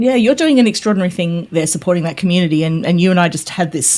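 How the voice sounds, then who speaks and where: Here a woman with a fairly low pitch speaks with an Australian accent. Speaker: tech YouTuber and pre-sales consultant. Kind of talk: casual interview chat.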